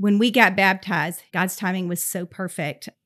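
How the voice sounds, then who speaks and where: A woman's medium-pitched voice in a Southern US accent at a fairly slow pace, dry and close with no echo, in a very clean recording with a silent background. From US South, Georgia. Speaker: preschool director. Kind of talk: interview testimony.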